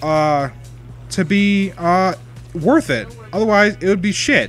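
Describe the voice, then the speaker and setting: Music plays behind a man with a high pitch. His intonation is lively. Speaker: video game streamer. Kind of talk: casual chat. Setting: live stream. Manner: loud.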